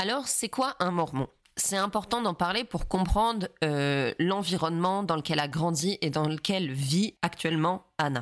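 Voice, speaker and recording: In a very clean recording with a silent background, a woman with a fairly low, nasal voice speaks with lively intonation and very even loudness. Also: fairly slow pace. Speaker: parenting podcast host. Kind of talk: casual commentary podcast. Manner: nasal-sounding.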